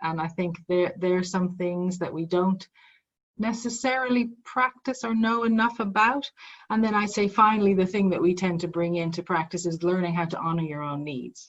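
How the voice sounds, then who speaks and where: A woman is speaking with ordinary pitch variation. Her voice is somewhat breathy. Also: medium pitch for a woman, moderate pace. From Ireland. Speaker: psychologist and mindfulness teacher. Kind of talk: interview conversation.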